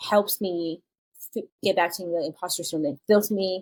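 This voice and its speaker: A woman with a Chinese accent, fairly low in pitch and dark and mellow in tone, at a fairly quick pace in a dry, close sound with no echo. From China, moved to US at eleven. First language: Mandarin Chinese. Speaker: children's book author. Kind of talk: podcast interview. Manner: casual, with many fillers.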